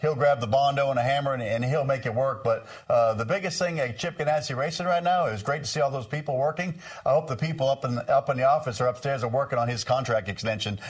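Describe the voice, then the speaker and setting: A man with an American accent speaks very fast, his fairly high voice somewhat breathy. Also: ordinary pitch variation. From Maine, US. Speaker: NASCAR crew chief and TV analyst. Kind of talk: casual panel chat.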